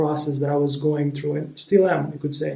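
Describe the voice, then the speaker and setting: Speaking at a fairly quick pace with a Romanian accent, a man holds a fairly high pitch in a monotone with flat intonation. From Moldova. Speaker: spiritual vlogger, former relationship coach. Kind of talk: personal storytelling monologue. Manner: halting, with many repetitions and fillers.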